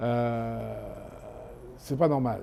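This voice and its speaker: A man's very slow speech. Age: 60s. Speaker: chef and fish sauce enthusiast. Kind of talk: documentary interview. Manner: halting.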